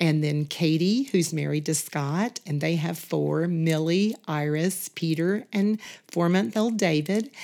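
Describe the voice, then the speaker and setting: With a Southern US accent, a woman speaks at a fairly slow pace with hardly any pauses, a dark, mellow tone, fairly low pitch, ordinary pitch variation and very even loudness on a very clean recording with a silent background. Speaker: church member, retired teacher. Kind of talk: casual interview.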